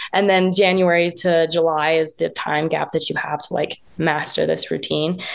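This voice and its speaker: With an American accent, a woman talks at a moderate pace in a fairly low, monotone voice with flat intonation. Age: young. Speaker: professional jump roper. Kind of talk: interview.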